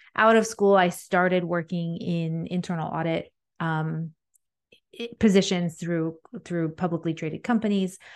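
A woman with a plain, everyday voice speaks fairly slowly and at a fairly low pitch, with fairly even intonation against a quiet background. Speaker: president of a women's association. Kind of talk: casual interview.

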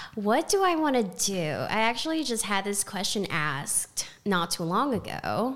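Speaking with an American accent at a fairly slow pace, a woman barely pauses. Her voice sits at a medium pitch but swings very widely. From Texas, Houston. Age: 20s. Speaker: restaurant server. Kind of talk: interview. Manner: halting.

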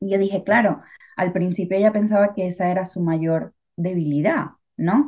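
A woman talks in a dark, mellow tone that is somewhat breathy. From Venezuela. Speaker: podcast co-host. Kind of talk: casual chat. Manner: talkative.

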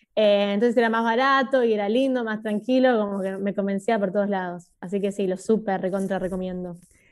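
Speaking at a fairly quick pace with hardly any pauses, a woman uses an unremarkable speaking voice at medium pitch with fairly even intonation. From Buenos Aires, Argentina. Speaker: YouTuber. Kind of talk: casual interview.

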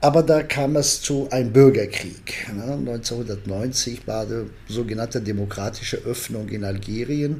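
A man's medium-pitched voice at a fairly slow pace, with ordinary pitch variation and audible room echo. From Algeria. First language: Arabic or French (Algerian) (speaking German). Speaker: political science professor. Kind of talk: interview. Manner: halting, many fillers.

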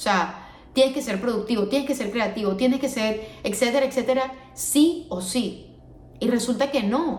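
Fairly high female voice, moderately paced, amid noticeable background noise and audible room echo. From Venezuela. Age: 20s. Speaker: podcast host. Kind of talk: solo podcast monologue. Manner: casual, with frequent fillers.

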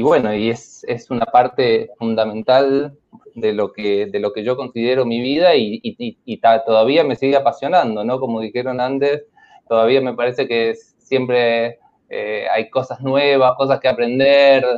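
At a fairly slow pace, a man with an ordinary speaking voice talks at medium pitch with fairly even intonation. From Argentina, San Luis. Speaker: programmer and company partner. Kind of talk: casual panel chat.

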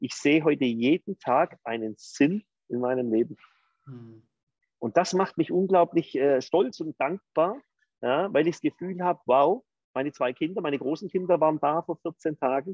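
With lively intonation and fairly high pitch, a man talks at a moderate pace in a plain, everyday voice. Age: 50s. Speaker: entrepreneur. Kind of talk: interview.

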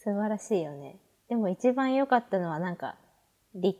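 Lively intonation marks this woman's dark, mellow tone. The recording is very clean, with a silent background. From Hokkaido, Japan. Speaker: pharmacy student and podcaster. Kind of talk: casual chat.

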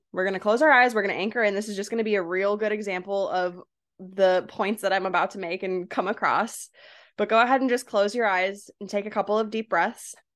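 A woman's animated, very fast delivery at a medium pitch. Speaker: podcast host and coach. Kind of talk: guided meditation. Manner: casual, animated, chatty.

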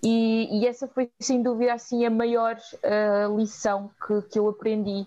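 A woman with a fairly high pitch and a dark, mellow tone speaks at a fairly slow pace in a monotone, flat delivery of very even loudness. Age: 30s. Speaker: volunteering nonprofit coordinator. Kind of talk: interview. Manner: halting.

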